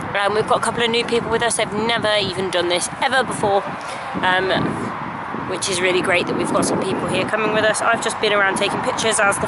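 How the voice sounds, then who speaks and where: A woman's voice sounds dry with no echo, while loud background noise runs underneath. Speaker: hobby vlogger at a reenactment event. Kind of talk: casual vlog chat. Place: open country. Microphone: phone near.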